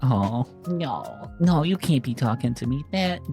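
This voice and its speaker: Music plays in the background as a woman talks. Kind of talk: casual talk to camera, meme reaction video. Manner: excited, emotional, enthusiastic.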